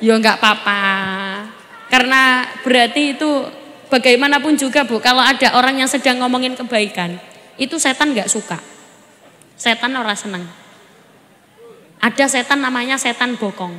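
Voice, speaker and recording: A woman with a Javanese accent speaks at a high pitch and a moderate pace. Her speech breaks into long, frequent pauses over noticeable background noise. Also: ordinary pitch variation. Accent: Javanese-accented Indonesian. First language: Javanese (speaking Indonesian). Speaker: female Islamic preacher. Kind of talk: religious sermon to live audience. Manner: animated, conversational.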